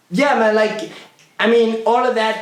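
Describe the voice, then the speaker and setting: Over music in the background, a man with an American accent speaks with audible room echo. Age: 40s. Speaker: hip hop artist. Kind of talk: casual chat. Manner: animated.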